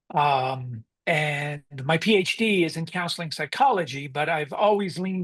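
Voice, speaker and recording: A man speaks with an American accent and a fairly high pitch. The background is quiet. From US South, coastal North Carolina. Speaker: marriage and family therapist. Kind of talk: podcast interview.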